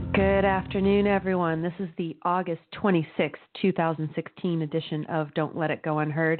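A woman talks at a moderate pace with hardly any pauses, in a fairly low pitch. Her pitch varies in an ordinary way, and music plays in the background. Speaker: radio talk show host. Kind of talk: political talk show monologue.

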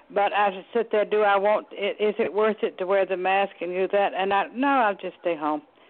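Hardly pausing at all, a woman with a Southern US accent speaks at a medium pitch with ordinary pitch variation. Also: moderate pace. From US South, Chattanooga, Tennessee. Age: 80s+. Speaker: caller. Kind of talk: casual chat. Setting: phone call.

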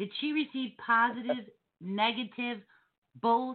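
This woman speaks with a strong New Jersey accent. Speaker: podcast host. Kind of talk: casual banter.

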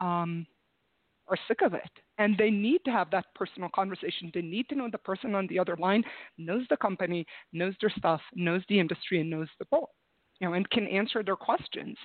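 A woman uses a normal speaking voice at a moderate pace with ordinary pitch variation. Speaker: recruiter and HR consultant. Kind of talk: casual interview chat.

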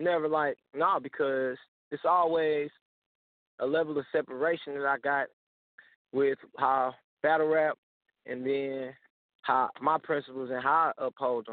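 Leaving long, frequent pauses, a man with a fairly high pitch talks at a fairly slow pace in a monotone, flat way. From St. Louis. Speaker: battle rapper. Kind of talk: casual interview.

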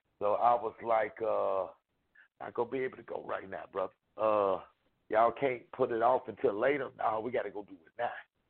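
Here a man of medium pitch has an unremarkable speaking voice and a fairly quick pace. His intonation is fairly even, with big swings in loudness. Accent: American. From Chicago, then Utica, Mississippi. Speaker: rapper. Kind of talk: interview.

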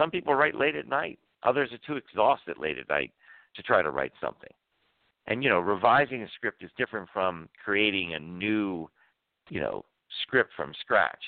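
With an American accent, a man talks at a moderate pace in a fairly low voice, his pitch swinging very widely between long, frequent pauses. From US, Washington D.C. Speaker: screenwriting professor. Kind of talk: interview.

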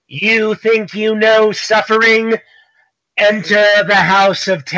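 A man puts on a character voice, high in pitch. He goes at a fairly slow pace with fairly even intonation. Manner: theatrical, showy pitch.

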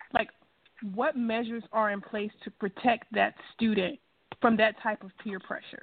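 With a Mississippi accent, a woman speaks at a moderate pace in a fairly high pitch, her intonation fairly even but her loudness swinging widely. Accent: Southern US (Mississippi). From US South, Natchez, Mississippi. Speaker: radio host. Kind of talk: radio interview.

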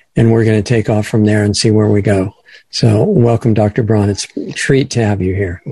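A man's somewhat breathy voice, fairly low in pitch, with a dark, mellow tone, fairly even intonation and a moderate pace. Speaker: radio host. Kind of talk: interview.

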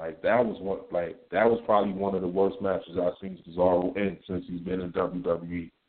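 A man with a very deep, low voice speaks in fairly even intonation. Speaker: caller. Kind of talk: casual chat. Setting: phone call.

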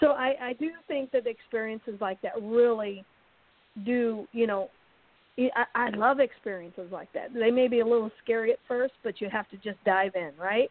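A woman speaks in a plain, everyday voice with ordinary pitch variation. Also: fairly high pitch for a woman, moderate pace. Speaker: radio host. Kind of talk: casual chat.

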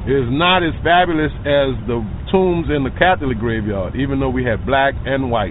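A man with a New Orleans accent speaks at medium pitch and a moderate pace, his intonation lively. Noticeable background noise and audible room echo fill the recording. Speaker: tour guide. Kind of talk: guided tour.

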